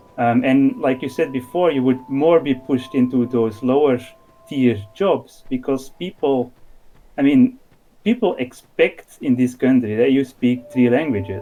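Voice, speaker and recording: Music plays in the background as the speaker talks at a fairly slow pace. Pitch variation is ordinary and loudness is very even. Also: man, medium pitch for a man. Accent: Dutch. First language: Dutch. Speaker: podcast guest, discord moderator. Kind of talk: casual conversation.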